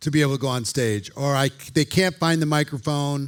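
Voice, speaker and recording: A man at a moderate pace with a fairly high pitch and ordinary pitch variation. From Minnesota, US Midwest. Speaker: presentation coach. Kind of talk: seminar talk.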